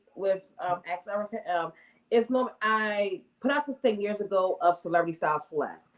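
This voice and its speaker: A woman's fairly high-pitched voice with a slight Northern US accent. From US Northeast (Baltimore, Maryland and Harlem, New York). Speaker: entrepreneur and shoe stylist. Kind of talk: interview. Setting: live stream.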